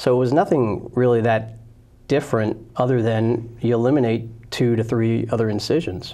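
Using a dark, mellow tone, a man with an American accent speaks at a moderate pace with very even loudness and fairly even intonation. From New Jersey, Princeton; New Jersey. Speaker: gynecologist surgeon; guest. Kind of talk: interview. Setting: studio. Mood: calm, grateful. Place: studio. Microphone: lapel.

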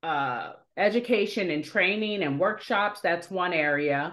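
This woman has a normal speaking voice and an American accent, pitched fairly low. She talks at a fairly slow pace with lively intonation. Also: quiet background. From Dearborn, Michigan, US. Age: 40s. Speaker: nonprofit business program manager. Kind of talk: interview. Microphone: video call.

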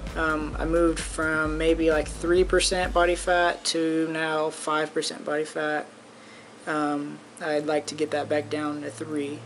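This man, with an American accent, talks at a fairly slow pace in a fairly high pitch with monotone, flat intonation over light background noise. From Fairfield, California. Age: 20s. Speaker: college student athlete. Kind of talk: audition tape talk to camera.

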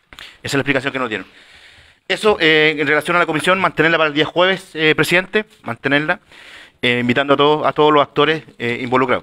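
Against a quiet background, a man talks very fast in a fairly high, bright, sharp voice with ordinary pitch variation. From Chile. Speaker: city councillor. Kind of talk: formal council meeting. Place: meeting room.

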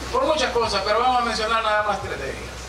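Noticeable background noise behind a man's loud, projecting voice. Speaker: mayor giving a commemorative speech. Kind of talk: formal public speech. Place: stage.

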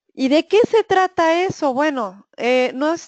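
Against a quiet background, a woman talks at a fairly slow pace with very wide pitch swings, in a dry, close sound with no echo. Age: 50s. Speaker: food safety auditor and trainer. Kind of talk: webinar lecture. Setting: online webinar. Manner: halting, frequent fillers and repeated syllables.

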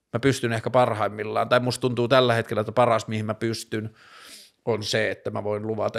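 Against a quiet background, a man of medium pitch talks at a fairly quick pace in a monotone, flat way. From northern Finland, Tornio; northern Finland. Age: 30s. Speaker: vlogger, talk show host. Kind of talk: solo monologue vlog; casual personal talk. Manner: halting, many fillers. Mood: reflective, personal. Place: home room. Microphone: studio mic.

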